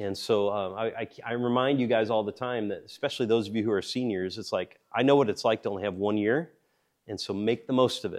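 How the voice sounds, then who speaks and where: Against a quiet background, a man with an unremarkable speaking voice talks at a fairly quick pace, his medium pitch carried in fairly even intonation. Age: 40s. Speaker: pastor or Bible teacher. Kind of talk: sermon.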